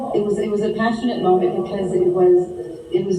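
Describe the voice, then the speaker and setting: Against noticeable background noise, a woman with a Quebec accent talks at a fairly quick pace, her medium-pitched voice held to fairly even intonation. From Montreal, Quebec, Canada. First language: French. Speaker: actress. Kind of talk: interview.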